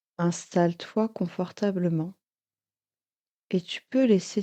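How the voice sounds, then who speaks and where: Recorded with a dry, close sound with no echo, a woman speaks with a fairly low pitch and a dark, mellow tone. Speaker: hypnotherapist. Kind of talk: guided hypnosis session. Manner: slow, calm.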